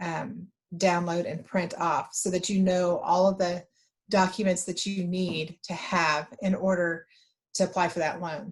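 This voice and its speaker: The delivery is fairly slow and somewhat breathy. Intonation stays monotone and flat. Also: woman, medium pitch for a woman. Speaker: state economic development official. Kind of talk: webinar presentation. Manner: halting.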